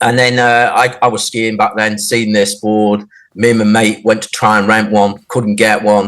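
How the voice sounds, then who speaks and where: At a fairly quick pace, a man talks. His pitch is fairly low. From North Wales (Llandudno). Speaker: snowboarder. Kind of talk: casual interview chat. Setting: podcast interview. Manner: hesitant, many fillers.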